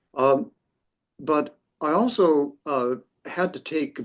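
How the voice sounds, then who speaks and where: A man talks with a North American accent. His pitch varies in an ordinary way. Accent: North American, retained. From US West Coast, near San Francisco. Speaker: professor. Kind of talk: interview. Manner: halting, many fillers.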